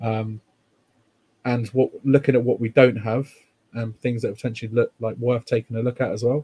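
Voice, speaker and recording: A man's somewhat breathy, medium-pitched voice with a dark, mellow tone, monotone, flat intonation and a fairly quick pace, the sound dry and close with no echo. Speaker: podcast host. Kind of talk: casual chat about football.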